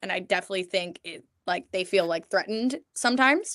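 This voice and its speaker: A woman with an American accent speaks in a bright, sharp tone at medium pitch, with ordinary pitch variation. The background is quiet. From New York. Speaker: pizza maker. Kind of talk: interview. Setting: live stream.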